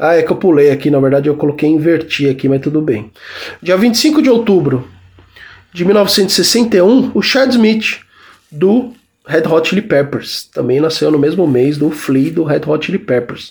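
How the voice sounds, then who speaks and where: A man uses a plain, everyday voice, fairly high in pitch, with lively intonation, very even loudness and a fairly slow pace. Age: 40s. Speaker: podcast host and music journalist. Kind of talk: casual solo podcast talk.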